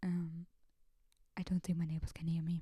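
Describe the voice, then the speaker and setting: Soft-spoken delivery at a moderate pace. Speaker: video blogger. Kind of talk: casual monologue. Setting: at home late at night. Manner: soft-spoken, talking quietly; hesitant, many fillers.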